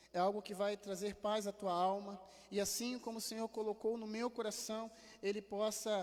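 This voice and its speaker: With a high pitch and monotone, flat intonation, a man speaks at a moderate pace. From Rio de Janeiro, Brazil. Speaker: pastor. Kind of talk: sermon. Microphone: improved audio, less echo than usual.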